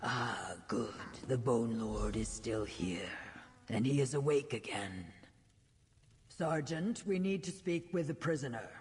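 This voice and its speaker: A put-on character voice sits at a low-to-middle pitch and moves at a fairly slow pace. Long, frequent pauses break up the speech. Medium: video game. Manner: formal, measured.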